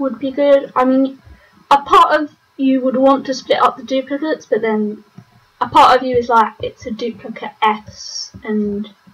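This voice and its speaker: A woman's high voice in a British accent, at a moderate pace with ordinary pitch variation. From Britain. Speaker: online game commentator. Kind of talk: live commentary. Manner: casual, hesitant with many fillers.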